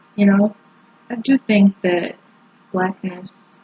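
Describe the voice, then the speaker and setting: At a very slow pace, a woman speaks in a somewhat breathy voice with a dark, mellow tone and ordinary pitch variation, in a dry, close sound with no echo. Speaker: poet. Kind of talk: casual talk to camera.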